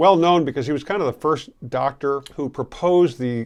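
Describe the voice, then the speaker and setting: A man with an American accent against a quiet background. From US Midwest, Grand Rapids, Michigan. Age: 60s. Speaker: YouTuber. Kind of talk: personal storytelling. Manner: casual, conversational.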